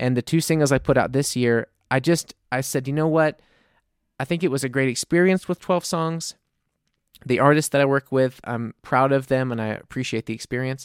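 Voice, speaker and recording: A man with an American accent and a normal speaking voice, medium in pitch with ordinary pitch variation, at a moderate pace, in a dry, close sound with no echo and a very clean recording over a silent background. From US South, New Orleans. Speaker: indie-pop singer-songwriter. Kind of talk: casual chat.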